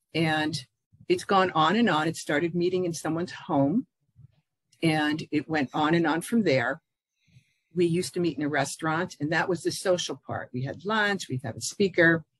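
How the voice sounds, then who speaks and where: Recorded dry with no echo against a quiet background, a woman with a fairly low pitch speaks at a moderate pace with ordinary pitch variation. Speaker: interview guest. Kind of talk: interview answer. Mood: warm, proud. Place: home room. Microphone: video call.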